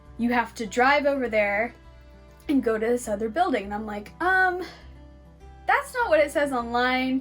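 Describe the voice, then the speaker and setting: Music plays in the background as a woman with a Californian accent and a high pitch speaks at a moderate pace. Her intonation is lively, broken by long, frequent pauses. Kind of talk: casual story time talk to camera.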